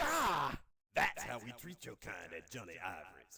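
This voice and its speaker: A man speaks at a moderate pace in a put-on character voice, his pitch sitting in the middle range. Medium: video game. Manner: brash, street slang.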